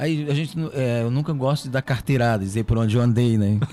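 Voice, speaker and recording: Music plays in the background as a man with a medium pitch talks at a fairly quick pace with ordinary pitch variation. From Ceará, Brazil (Catunda). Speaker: magician and comedian. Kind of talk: casual chat.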